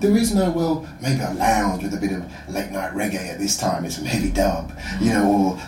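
Amid noticeable background noise and audible room echo, a man of medium pitch talks at a fairly quick pace with very wide pitch swings. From London (Croydon), England. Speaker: entrepreneur, music platform founder. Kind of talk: casual chat.

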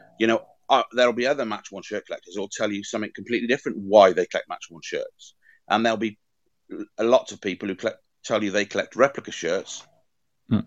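A man with a Welsh accent talks at a very fast clip, broken by long, frequent pauses and big swings in loudness, against a quiet background. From Wales. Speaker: football shirt collector and curator. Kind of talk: interview conversation.

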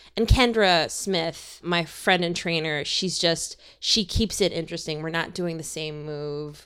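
An unremarkable speaking voice, a woman with an American accent at a fairly low pitch and fairly slow pace, with ordinary pitch variation and hardly any pauses, on a very clean recording with a silent background. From Minnesota suburbs. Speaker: comedian and filmmaker. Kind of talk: casual chat. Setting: in the guest's home.

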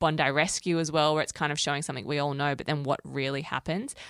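A woman with an Australian accent and a very deep, low pitch is heard in a very clean recording with a silent background. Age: 20s. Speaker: podcast co-host, entertainment journalist. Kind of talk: casual chat.

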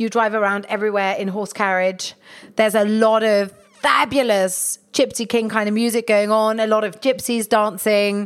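A woman speaks in a fairly high, monotone, flat voice. Music plays in the background. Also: moderate pace. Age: 40s. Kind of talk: casual chat.

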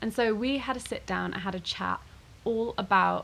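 A somewhat breathy woman's voice. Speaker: podcast host. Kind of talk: casual interview chat. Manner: chatty, laughs often.

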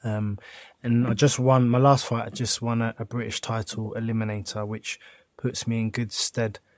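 A man with a South London accent at a medium pitch, moderate pace, and monotone, flat intonation, in a very clean recording with a silent background. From south London, Croydon. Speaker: former footballer and pro boxer. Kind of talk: casual chat.

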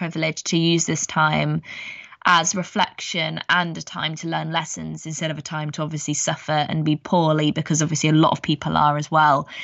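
A woman speaks at a fairly quick pace with an English accent. Her pitch is very deep and low. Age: 20s. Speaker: podcast co-host. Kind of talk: casual chat.

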